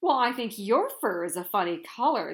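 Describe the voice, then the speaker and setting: Using a put-on character voice, a woman speaks at a moderate pace and fairly high pitch. The recording is very clean, with a silent background. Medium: read story. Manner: anxious, fretting.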